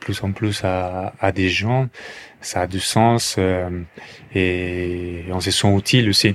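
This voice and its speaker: A man's very deep, low voice with a Colombian accent, flat and monotone, at a very slow pace. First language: Spanish (speaking French). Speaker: café entrepreneur. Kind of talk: testimony. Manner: halting, with repetitions and fillers.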